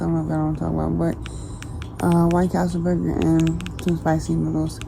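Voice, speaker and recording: A quiet woman's voice amid noticeable background noise and audible room echo. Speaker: family vlogger. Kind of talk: casual chat. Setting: outdoors at night, then in a bedroom. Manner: quiet, hushed.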